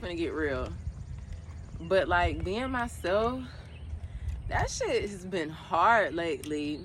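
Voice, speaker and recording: A woman at a fairly slow pace, with long, frequent pauses and audible room echo. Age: 20s. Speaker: podcast host. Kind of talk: casual monologue. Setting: outdoors. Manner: casual, conversational.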